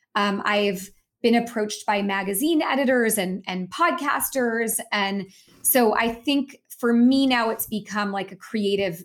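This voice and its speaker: Her voice is an unremarkable speaking voice, fairly high in pitch, with lively intonation. The woman talks at a fairly slow pace. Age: 40s. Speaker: author and business coach. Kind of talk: interview.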